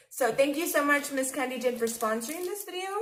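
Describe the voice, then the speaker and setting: Talking at a very fast pace, a woman with a high voice swings her pitch very widely over noticeable background noise and audible room echo. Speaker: face painter and video host. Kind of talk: product unboxing. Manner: restrained mouth movement.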